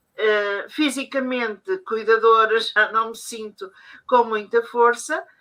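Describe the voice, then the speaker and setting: Very slowly and with fairly even intonation, a woman speaks at a fairly high pitch in a bright, sharp tone. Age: 70s. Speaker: family caregiver. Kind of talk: testimony. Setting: conference session. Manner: halting.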